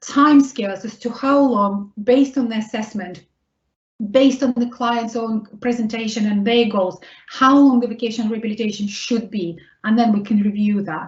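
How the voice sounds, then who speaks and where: With a Russian accent and a fairly high pitch, a woman talks at a moderate pace with fairly even intonation. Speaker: vocational rehabilitation consultant. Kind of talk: webinar Q&A answer.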